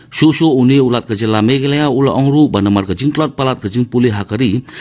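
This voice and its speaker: A man's medium-pitched voice at a fairly quick pace. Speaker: radio newsreader. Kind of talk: news reading. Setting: studio. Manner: formal; steady, even-paced bulletin delivery. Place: studio.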